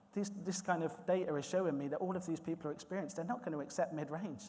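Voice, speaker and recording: With a West Country accent, a man speaks at a very fast pace in a dark, mellow tone. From South West England, Swindon. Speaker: recruitment manager. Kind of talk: conference presentation. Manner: hesitant, many fillers and repetitions.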